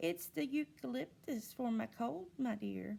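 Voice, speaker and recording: Using a put-on character voice, a woman speaks at a fairly slow pace with a fairly low pitch. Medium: read story. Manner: disguised, falsely gentle.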